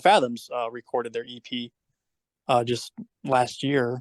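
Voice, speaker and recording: The sound is dry and close with no echo as a man speaks in an American accent. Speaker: former band bassist. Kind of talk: casual chat.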